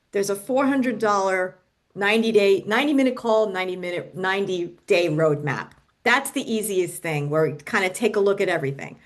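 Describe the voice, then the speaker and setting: With lively intonation, a woman with an unremarkable speaking voice talks at a fairly quick pace and a medium pitch. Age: 60s. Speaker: business coach. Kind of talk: podcast interview.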